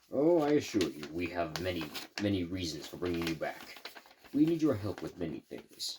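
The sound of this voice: What you hear is an unforced reading voice.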